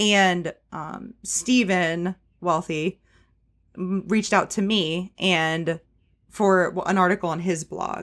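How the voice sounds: In a very clean recording with a silent background, a woman speaks slowly with a fairly low pitch, a fairly bright tone and fairly even intonation.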